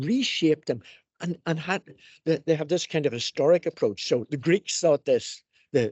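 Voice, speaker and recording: This man has an ordinary speaking voice with a fairly high pitch. He talks at a moderate pace with lively intonation. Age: 60s. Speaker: education professor. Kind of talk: panel discussion.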